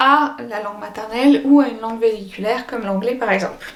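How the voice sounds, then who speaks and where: A woman talks with ordinary pitch variation while noticeable background noise runs underneath. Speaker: French as a foreign language teacher. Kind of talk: educational vlog. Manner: casual with hesitations.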